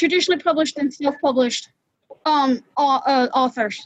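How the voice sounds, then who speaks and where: A woman is recorded with a dry, close sound and no echo. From Georgia, US South. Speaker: writer, blind. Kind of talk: casual group discussion.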